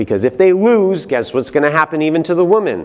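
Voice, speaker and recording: A man speaks with lively intonation. His pitch is fairly high. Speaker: Bible teacher, conference speaker. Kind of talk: lecture. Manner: animated.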